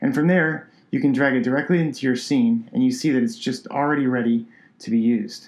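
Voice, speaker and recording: Upbeat tone and fairly quick pace from a man with fairly high pitch and ordinary pitch variation. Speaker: product designer. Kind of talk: software tutorial. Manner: casual and upbeat.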